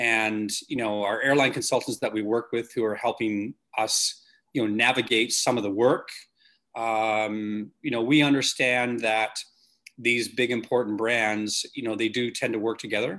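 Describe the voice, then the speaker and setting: With a Canadian accent, a man of medium pitch talks at a moderate pace in a bright, sharp tone. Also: fairly even intonation, quiet background. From Canada. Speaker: company CEO. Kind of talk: interview. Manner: halting, many fillers.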